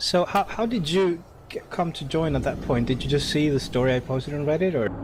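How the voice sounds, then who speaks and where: Man speaking at a fairly quick pace with lively intonation, noticeable background noise behind him. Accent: non-native. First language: not English. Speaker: gaming community leader. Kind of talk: speech to online gaming community. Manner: hesitant, many fillers.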